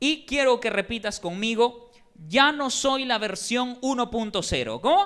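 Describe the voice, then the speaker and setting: There is noticeable background noise. The speaker goes at a fairly slow pace. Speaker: preacher. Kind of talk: sermon. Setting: church.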